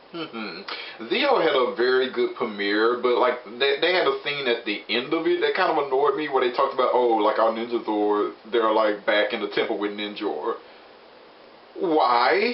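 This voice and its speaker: A man speaks at a medium pitch and a moderate pace. Background noise is noticeable. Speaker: TV show reviewer. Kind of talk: casual review talk to camera. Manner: enthusiastic.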